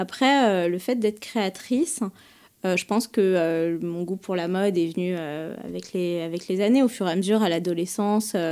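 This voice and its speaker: In a very clean recording with a silent background, a woman with a dark, mellow tone speaks at a medium pitch and a fairly slow pace, with ordinary pitch variation. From France, Paris. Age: 30s. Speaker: bridal fashion designer. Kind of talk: interview. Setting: designer's showroom. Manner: hesitant, many fillers.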